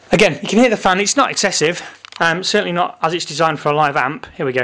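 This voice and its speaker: A high-pitched man at a very fast pace with lively intonation, against noticeable background noise. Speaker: guitar gear reviewer. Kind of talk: product demo tutorial. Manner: casual.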